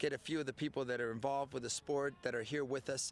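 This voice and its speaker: A man speaks at a very fast pace with a fairly high pitch. The recording is very clean, with a silent background. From Mexico. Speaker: soccer show host. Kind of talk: live interview show. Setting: live broadcast at sports complex. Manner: animated.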